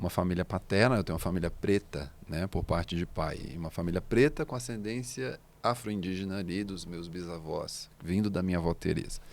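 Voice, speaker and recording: A man with a very deep, low pitch and ordinary pitch variation, on a very clean recording with a silent background. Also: fairly quick pace. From Brazil, Minas Gerais (Belo Horizonte/Contagem). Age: 30s. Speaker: singer-songwriter. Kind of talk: interview conversation. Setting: studio.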